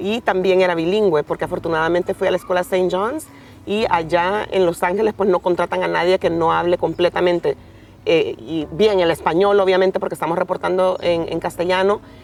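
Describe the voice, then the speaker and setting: A woman's medium-pitched voice with a Honduran accent, fairly even intonation and a fairly quick pace. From Honduras, Puerto Cortés. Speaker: TV news reporter. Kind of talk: interview. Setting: outdoors.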